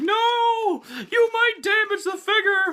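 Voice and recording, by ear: An extremely high-pitched put-on character voice from a man, delivered at a fairly slow pace.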